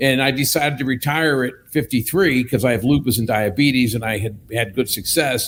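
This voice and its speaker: A man speaks at a moderate pace in a plain, everyday voice. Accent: American. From US, southwestern Pennsylvania. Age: 60s. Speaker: company executive. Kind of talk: casual chat.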